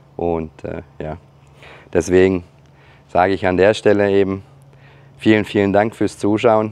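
Pausing long and often, a man with a fairly low pitch speaks at a fairly slow pace in a monotone, flat intonation. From Germany. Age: 40s. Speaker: YouTuber and hobby farmer. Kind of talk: casual vlog narration. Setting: outdoors on a farm. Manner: hesitant, many filler sounds.

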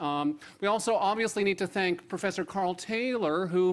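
The man here speaks at a fairly quick pace. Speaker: host. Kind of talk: opening remarks at an event. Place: hall. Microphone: podium.

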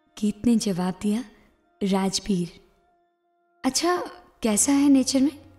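Music plays in the background as a woman speaks with lively intonation. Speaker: storyteller. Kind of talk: read story.

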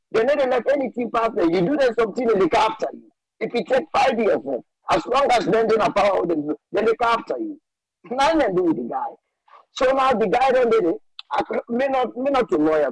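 A man with a Sierra Leonean accent, an extremely high pitch and very wide pitch swings, in a dry, close sound with no echo. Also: fairly quick pace. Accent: Sierra Leonean Krio-inflected English. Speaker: caller. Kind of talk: call-in commentary. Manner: animated.

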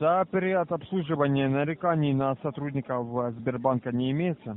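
A man speaks at a moderate pace with ordinary pitch variation. The sound is dry, with no echo. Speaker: phone scammer posing as police officer. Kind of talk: scam phone call. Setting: phone call. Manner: formal. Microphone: phone line.

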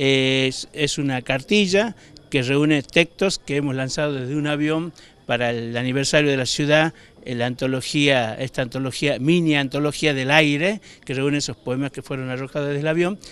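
A man with a fairly high pitch and ordinary pitch variation speaks at a moderate pace, in a dry sound with no echo. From northern Argentina, Orán, Salta; northern Argentina. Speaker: writer. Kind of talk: interview; interview answer. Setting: book fair venue. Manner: hesitant, many fillers. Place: hall. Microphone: handheld.

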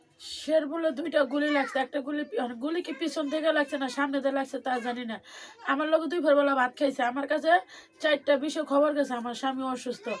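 Her pitch is high. The woman keeps her intonation fairly even. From Bangladesh, Bikrampur (Munshiganj). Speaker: widow of protest victim, garment worker. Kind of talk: interview testimony. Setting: at home. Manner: soft-spoken.

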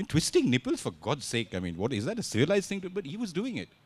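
A man speaks at a very fast pace with vocal fry. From India. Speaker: author; author on panel. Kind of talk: literature festival conversation. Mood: humorous, satirical. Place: stage. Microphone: handheld.

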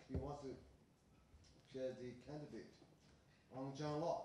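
In a Chinese accent, a man at medium pitch speaks at a fairly slow pace with fairly even intonation, amid light background noise and audible room echo. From China. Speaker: professor and commentator; professor, commentator. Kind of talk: academic commentary. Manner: halting. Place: meeting room. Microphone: podium.

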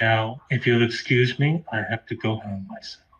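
Using a put-on character voice, a man mumbles quietly at a moderate pace in a medium pitch with ordinary pitch variation. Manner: quiet, muttering.

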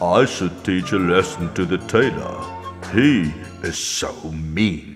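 Faint music plays in the background as a man uses a cartoonish character voice. His pitch is very deep and low, and his pace is fairly slow. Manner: resentful, scheming.

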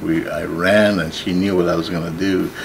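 A man's very deep, low voice in monotone, flat intonation over noticeable background noise. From northern Ontario, Canada. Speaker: artist and entrepreneur. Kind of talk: life story interview; interview answer. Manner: halting, many fillers. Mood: calm, reflective storytelling. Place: workshop.

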